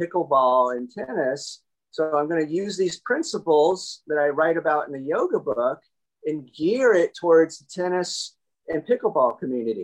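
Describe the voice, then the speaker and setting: A plain, everyday voice at a moderate pace. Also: man. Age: 50s. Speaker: chiropractor / spine doctor and author. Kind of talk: interview.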